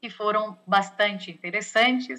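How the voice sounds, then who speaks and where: Her bright, sharp tone sits at a fairly high pitch as the woman talks at a fairly slow pace with fairly even intonation. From Portugal. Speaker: health sector negotiation expert, lecturer. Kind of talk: lecture. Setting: video call.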